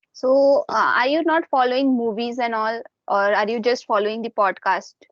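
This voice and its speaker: At a moderate pace, a woman with an Indian accent speaks in a high pitch. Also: ordinary pitch variation. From India, Jharkhand (Dhanbad). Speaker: English learner and YouTuber. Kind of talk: casual chat.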